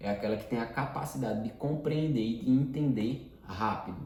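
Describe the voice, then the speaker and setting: With noticeable background noise and audible room echo, a man speaks at a moderate pace. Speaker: personal development teacher. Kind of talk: lecture. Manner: casual.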